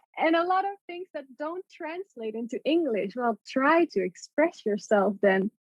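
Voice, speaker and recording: A woman's high voice in a Dutch accent, fairly slow yet with hardly any pauses, with very wide pitch swings and big swings in loudness. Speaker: artist and poet. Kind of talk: casual chat.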